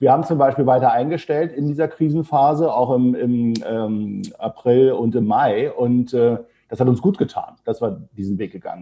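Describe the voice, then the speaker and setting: A man speaks at a moderate pace in a normal speaking voice, medium in pitch with ordinary pitch variation. His loudness swings widely. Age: 50s. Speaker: HR consultancy founder. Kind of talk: podcast interview.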